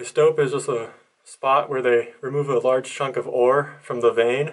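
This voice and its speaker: The background stays quiet. A man talks with fairly even intonation. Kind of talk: exploration commentary. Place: tunnel cave. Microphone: phone near.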